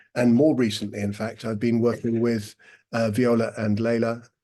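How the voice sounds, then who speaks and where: A man's dark, mellow tone at medium pitch, moderate in pace, with monotone, flat intonation. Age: 60s. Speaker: breathwork teacher. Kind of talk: talk with guided breathing exercise. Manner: halting.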